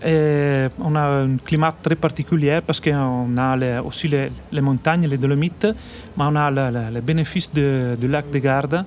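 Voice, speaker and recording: With an Italian accent, a man talks at a fairly slow pace in a fairly high pitch, his intonation fairly even. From northern Italy, Trentino. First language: Italian (speaking French). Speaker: winemaker. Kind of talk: radio interview. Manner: halting.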